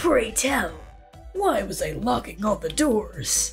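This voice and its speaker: A put-on character voice moves at a fairly slow pace over clear music in the background. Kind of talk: game character voice acting. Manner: aloof, curt, dismissive.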